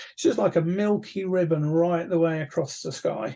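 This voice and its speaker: A fairly quick, fairly high-pitched male voice with a dark, mellow tone. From England. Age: 60s. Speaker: amateur astronomer, astronomy society chair; guest. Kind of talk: casual interview. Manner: hesitant, many fillers and repeats. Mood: relaxed, enthusiastic. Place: home room. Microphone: video call.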